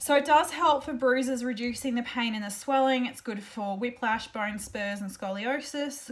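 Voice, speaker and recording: At a moderate pace, a woman with an Australian accent speaks in a high pitch with ordinary pitch variation. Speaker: essential oil seller and blogger; essential oil seller, blogger. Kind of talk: tutorial. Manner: casual, chatty with fillers. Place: home room. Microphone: webcam.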